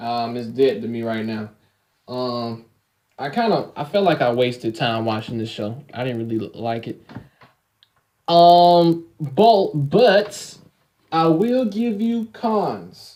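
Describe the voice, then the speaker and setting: This man's fairly high voice has a dark, mellow tone, with very wide pitch swings, big swings in loudness, a very slow pace, and long, frequent pauses. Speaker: anime reviewer. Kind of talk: casual video review. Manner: stuttering, halting; animated.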